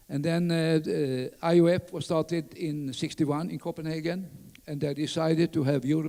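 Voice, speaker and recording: In a Skåne accent, a man with a fairly high voice speaks at a moderate pace. His tone is dark and mellow, with fairly even intonation. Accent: Swedish (Skåne). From southern Sweden, Skåne. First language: Swedish (Skåne dialect). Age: 80s+. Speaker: orienteering pioneer. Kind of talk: conference talk. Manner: halting, many fillers.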